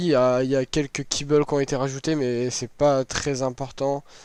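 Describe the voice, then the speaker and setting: A man speaks at a moderate pace with a medium pitch. His intonation stays monotone and flat. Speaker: gaming youtuber. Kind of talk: gameplay tutorial. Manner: casual, hesitant with many euh.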